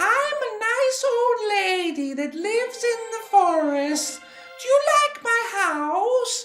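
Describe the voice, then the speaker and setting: An extremely high put-on character voice at a fairly slow pace, with clear music in the background. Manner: sweet, deceptively friendly.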